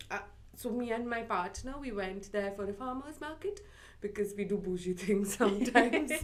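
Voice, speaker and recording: A woman with an Indian accent speaks in an animated tone at a fairly high pitch, with ordinary pitch variation. Music plays in the background, and there is audible room echo. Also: moderate pace. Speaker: library podcast co-host. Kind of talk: casual chat. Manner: animated, chatty.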